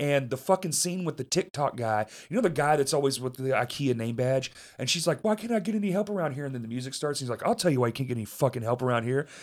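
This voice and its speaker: With a Southern US accent, a man speaks at a very fast pace, his fairly high pitch carrying lively intonation. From US South (Arkansas). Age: 30s. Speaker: podcast host. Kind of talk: casual chat. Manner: profane, swears constantly; laughs often.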